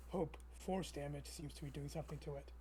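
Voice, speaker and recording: Someone rattles along at a very fast pace in a put-on character voice, with clear background noise. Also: man. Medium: actual play.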